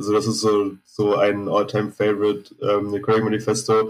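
Here a man speaks at a fairly slow pace. His pitch sits in the medium range. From Berlin (Zehlendorf, West Berlin). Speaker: metal bassist. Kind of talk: casual chat.

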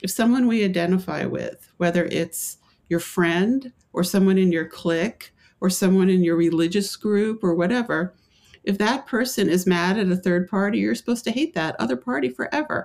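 A woman with an ordinary speaking voice at medium pitch uses lively intonation. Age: 60s. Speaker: author. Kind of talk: interview. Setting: remote interview from home.

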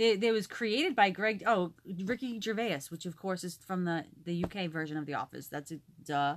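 Her pitch is medium for a woman. The intonation is lively. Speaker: podcast co-host. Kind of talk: casual chat. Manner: loud; fast.

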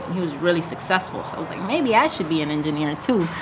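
Amid noticeable background noise and audible room echo, a woman speaks with an American accent and lively intonation. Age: 20s. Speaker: brain injury survivor, jiu-jitsu practitioner, podcast co-host. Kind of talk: casual interview chat.

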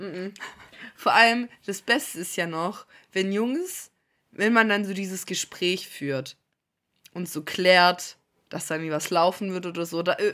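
With a bright, sharp, animated tone, a woman speaks at a medium pitch with ordinary pitch variation in a very clean recording with a silent background. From Stuttgart area, Germany. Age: 20s. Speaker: podcast co-host. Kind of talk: casual chat.

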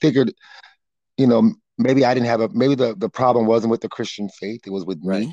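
At a fairly quick pace, a man speaks in a medium pitch with a dark, mellow tone and ordinary pitch variation. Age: 50s. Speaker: halal farmer. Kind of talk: interview. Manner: halting.

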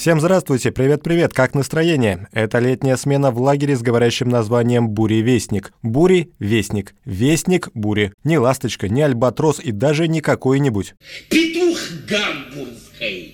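A man with a medium-pitched voice talks at a moderate pace in an animated, playful tone with lively intonation, recorded very cleanly against a silent background. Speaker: book reviewer and radio journalist. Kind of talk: stand-up comedy parody book review. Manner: animated, joking, playful; interacts with an imagined audience, comic timing.

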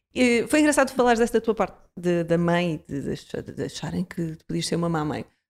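In a very clean recording with a silent background, a woman with a fairly low pitch talks at a moderate pace with hardly any pauses, very wide pitch swings and big swings in loudness. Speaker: podcast host. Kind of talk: casual chat.

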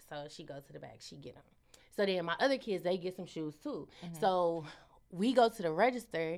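This woman has a fairly low pitch and an animated tone. She talks at a fairly quick pace with lively intonation. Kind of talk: casual chat.

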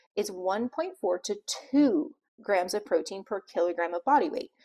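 In a very clean recording with a silent background and a dry, close sound with no echo, a woman with an ordinary speaking voice talks at a fairly high pitch with lively intonation. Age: 40s. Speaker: pharmacist and health coach podcast host. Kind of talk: solo podcast talk.

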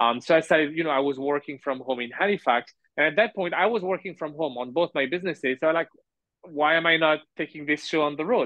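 A man talks very fast with a French accent. His pitch varies in an ordinary way. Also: fairly high pitch for a man. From France. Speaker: entrepreneur. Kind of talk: interview. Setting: remote call. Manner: hesitant with fillers.

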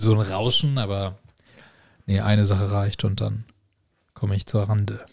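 A man with a fairly low pitch speaks at a moderate pace in a monotone, flat way. His voice is somewhat breathy, with long, frequent pauses. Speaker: podcast fan guest. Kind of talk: casual chat.

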